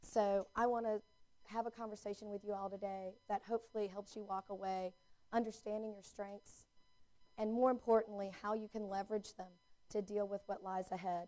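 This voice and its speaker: Speaking at a fairly quick pace with a Southern US accent, a woman uses a medium pitch, a dark, mellow tone and monotone, flat intonation. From US South, North Carolina. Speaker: placemaking consultant, keynote speaker. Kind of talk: public talk.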